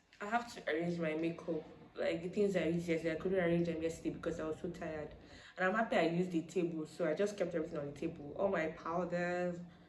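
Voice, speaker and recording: Over noticeable background noise, a woman with a fairly low voice speaks very fast with fairly even intonation. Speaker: vlogger. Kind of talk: casual vlog talk.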